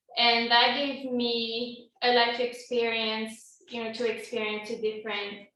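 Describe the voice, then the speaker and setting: Audible room echo follows a woman speaking with a French accent. Her pitch is fairly high and her pace fairly slow. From France. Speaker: toastmasters club member. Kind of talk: impromptu speech.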